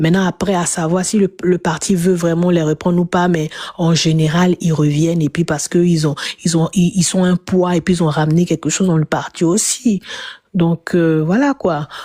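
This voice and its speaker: Her voice is fairly low with a dark, mellow tone, and the woman keeps her loudness very even and her intonation fairly even at a moderate pace, in a dry, close sound with no echo. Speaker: political commentator. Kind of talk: panel discussion. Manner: halting.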